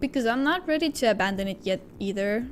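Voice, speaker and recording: Over noticeable background noise, a woman with a fairly high pitch and lively intonation speaks at a moderate pace. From Baltic States. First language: Baltic language (mother tongue, not English). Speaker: gaming streamer. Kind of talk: casual live stream chat. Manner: halting, many fillers.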